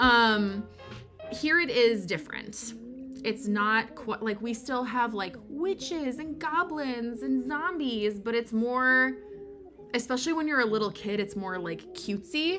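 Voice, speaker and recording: A woman's fairly high voice in a strong Michigan accent, fairly slow and with lively intonation, over noticeable background noise. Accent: thick Michigan. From Michigan, US. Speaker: content creator. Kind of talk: casual livestream chat. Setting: livestream from home. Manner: casual, many fillers.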